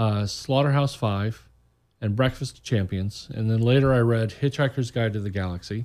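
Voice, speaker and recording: In a very clean recording with a silent background, a man with an American accent talks in a plain, everyday voice at medium pitch, moderate pace and with ordinary pitch variation. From Indiana, US Midwest. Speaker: author. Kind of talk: casual radio interview. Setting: studio.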